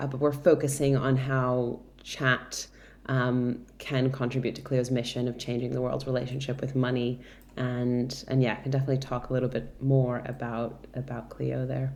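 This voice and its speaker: In an American accent, a woman with a very deep, low pitch talks at a moderate pace in a flat, monotone way. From Brazil. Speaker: tech product director. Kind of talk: interview.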